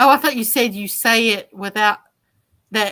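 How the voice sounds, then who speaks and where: The woman's fairly high voice has a bright, sharp tone and ordinary pitch variation. The recording is very clean, with a silent background. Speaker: livestream guest. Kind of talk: casual chat.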